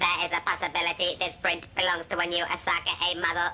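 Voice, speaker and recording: Delivered in a put-on character voice at a middle pitch, the speech is very fast and monotone, flat in intonation. Background noise is clearly audible. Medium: fan dub. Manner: clinical, precise.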